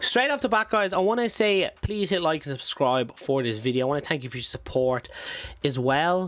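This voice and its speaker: A man with an Irish accent and very wide pitch swings. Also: fairly high pitch for a man, moderate pace. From Ireland. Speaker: stock trading YouTuber. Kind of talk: tutorial. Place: home room. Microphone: studio mic.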